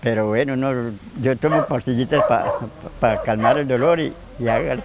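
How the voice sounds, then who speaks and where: A man's dry sound with no echo, set against loud background noise. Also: moderate pace. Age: 80s+. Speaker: waste picker. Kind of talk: interview answer. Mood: weary, lamenting hardship. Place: garden.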